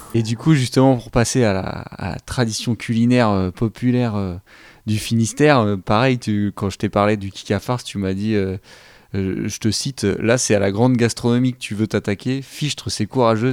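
A plain, everyday voice with fairly even intonation and a moderate pace, in a dry, close sound with no echo on a very clean recording with a silent background. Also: man. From Côtes-d'Armor, Brittany. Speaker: community radio host. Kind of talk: radio show hosting.

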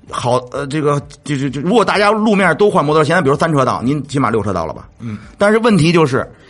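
Over music in the background, a man races at a very fast pace with hardly any pauses, his fairly high pitch swinging very widely. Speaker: motorcycle vlogger and restaurant owner. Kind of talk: casual chat.

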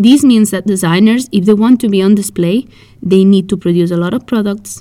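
A woman with a Spanish accent speaks in a dark, mellow tone at a medium pitch with ordinary pitch variation. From Spain. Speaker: podcast host and fashion magazine founder. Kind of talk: scripted podcast monologue.

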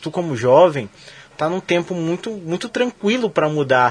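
Moderately paced speech from a man, pitch swinging very widely. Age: 30s. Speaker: radio sports show host. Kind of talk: casual interview.

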